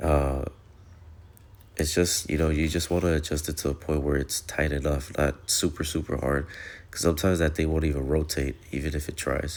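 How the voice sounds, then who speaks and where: On a very clean recording with a silent background, a man with a very deep, low pitch and vocal fry speaks at a fairly quick pace in a monotone, flat intonation. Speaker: appliance repair technician. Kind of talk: tutorial. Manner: casual, hesitant with many fillers.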